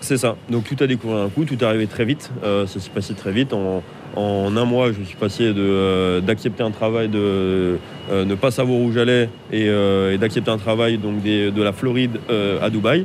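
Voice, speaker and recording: A man's fairly low-pitched voice, fairly slow and fairly even in intonation, over noticeable background noise. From Lyon, France. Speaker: chef. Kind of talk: interview. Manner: halting.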